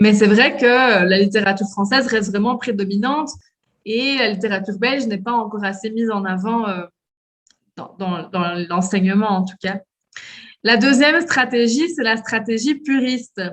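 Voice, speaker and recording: Somewhat breathy and fairly high-pitched, a woman talks at a moderate pace with long, frequent pauses and ordinary pitch variation. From Belgium, Liège. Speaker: French teacher and cultural liaison officer. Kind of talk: interview. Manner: hesitant, many fillers.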